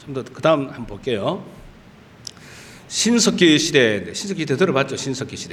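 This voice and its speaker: In a Gyeongsang accent, a man speaks at a fairly high pitch with very wide pitch swings, and room echo is audible. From Gyeongsang region, South Korea. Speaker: pastor. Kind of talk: sermon. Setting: church. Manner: animated.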